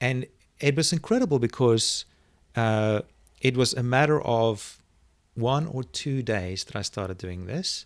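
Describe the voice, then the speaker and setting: The recording is very clean, with a silent background. A man speaks in a South African accent, his pitch varying in an ordinary way. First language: Afrikaans. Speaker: online video marketing expert. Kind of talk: interview. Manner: halting.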